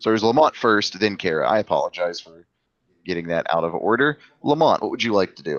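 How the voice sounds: The voice is a natural reading voice. Little sound comes from behind it.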